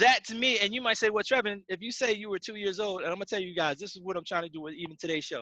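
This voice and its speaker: The speaker talks at a very fast pace with hardly any pauses, in a raised, projected voice with a bright, sharp tone and ordinary pitch variation, recorded with a dry, close sound and no echo. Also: man, high pitch for a man. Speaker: sports talk radio host. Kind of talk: casual chat. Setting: video call.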